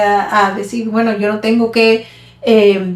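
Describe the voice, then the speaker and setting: A woman speaks at a fairly high pitch with flat, monotone intonation. Noticeable background noise sits behind her. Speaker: podcast co-host. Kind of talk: casual chat. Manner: halting, with repetitions.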